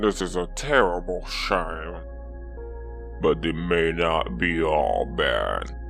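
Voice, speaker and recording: Over loud background music, a man performs a put-on character voice. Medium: actual play. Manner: calm, measured.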